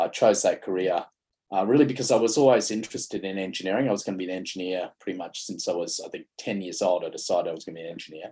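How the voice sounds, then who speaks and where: Talking very fast with an Australian accent, the man's loudness rises and falls sharply. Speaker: mining sustainability consultant, panelist. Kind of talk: conference panel presentation. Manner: halting with frequent fillers.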